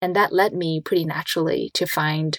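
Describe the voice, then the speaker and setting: A woman with a Chinese accent and a fairly low pitch speaks at a moderate pace in a monotone, flat intonation, the sound dry and close with no echo on a very clean recording with a silent background. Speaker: designer and entrepreneur. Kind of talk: interview conversation.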